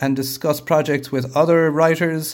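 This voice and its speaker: A man's fairly high voice with an Irish accent. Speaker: TV and film director. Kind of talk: interview. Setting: video call.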